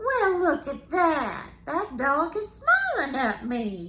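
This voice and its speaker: In a put-on character voice, a woman speaks with an extremely high pitch at a very slow pace. Clear background noise can be heard. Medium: read story. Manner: folksy, storytelling, peppered with yes ma'am.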